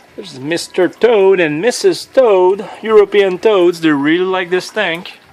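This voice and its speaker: Speech comes at a fairly slow pace with hardly any pauses. Noticeable background noise is present. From Quebec. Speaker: frog keeper, hobbyist vlogger. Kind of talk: casual video tour. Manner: casual, halting with fillers.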